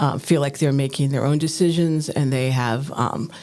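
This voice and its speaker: Against noticeable background noise, a woman with an American accent speaks at a very deep, low pitch with fairly even intonation. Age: 60s. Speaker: counselor. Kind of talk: podcast interview.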